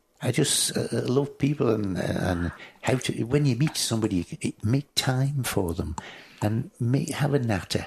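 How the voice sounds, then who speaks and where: With a Manx accent and lively intonation, a man speaks at medium pitch and a fairly slow pace, his loudness very even. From Isle of Man. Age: 70s. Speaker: motorcycle display commentator. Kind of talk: podcast interview answer.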